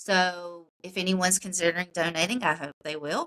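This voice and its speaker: A loud woman with a South Carolina accent, fairly low in pitch, bright and sharp in tone, at a moderate pace with fairly even intonation, in a dry, close sound with no echo. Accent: South Carolina Southern US. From South Carolina (Upstate, Spartanburg area). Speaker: political candidate. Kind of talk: interview.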